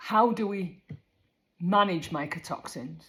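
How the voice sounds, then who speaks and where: The voice is somewhat breathy, with ordinary pitch variation and a Yorkshire accent. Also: woman. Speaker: horse care advisor. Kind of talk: casual informational talk. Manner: conversational.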